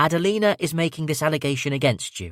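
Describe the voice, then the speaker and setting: A man growls through a put-on character voice at a very fast pace, pitched fairly high, with a dry, close sound and no echo. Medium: read story. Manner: measured, grave.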